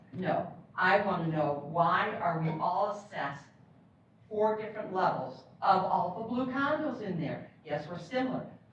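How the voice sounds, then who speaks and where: A woman speaks with very wide pitch swings. Noticeable background noise and audible room echo surround her voice. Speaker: property owner appealing assessment. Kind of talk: public hearing testimony. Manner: loud.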